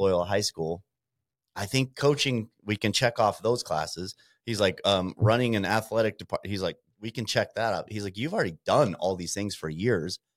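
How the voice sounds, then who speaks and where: A man with an unremarkable speaking voice and a fairly low pitch speaks at a moderate pace on a very clean recording with a silent background and a dry, close sound with no echo. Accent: American. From Montana. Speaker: small business owner. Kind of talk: casual interview.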